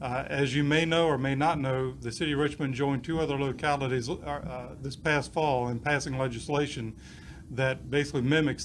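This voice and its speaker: This man talks at a fairly quick pace with fairly even intonation and a fairly high pitch. Some room echo is audible. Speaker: police chief. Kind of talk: press conference speech. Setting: press conference.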